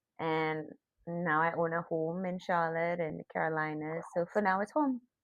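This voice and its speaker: A woman's fairly low voice with a slight Trinidadian accent, very even loudness, fairly even intonation and a moderate pace. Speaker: podcast guest. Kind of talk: casual interview.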